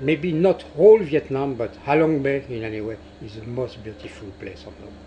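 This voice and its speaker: With music in the background, a man with a French accent speaks at a moderate pace in a medium pitch with lively intonation. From France. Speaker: cruise ship captain. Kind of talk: interview. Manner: halting.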